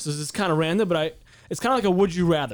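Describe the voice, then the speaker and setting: A man with an American accent speaks at a high pitch. His pitch swings are very wide. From San Diego, California. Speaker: podcast host. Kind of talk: casual podcast chat. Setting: studio. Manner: talks fast.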